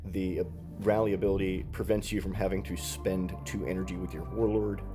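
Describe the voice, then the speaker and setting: Music plays behind a man whose very deep, low voice carries lively intonation. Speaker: card game reviewer. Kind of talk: casual talk to camera.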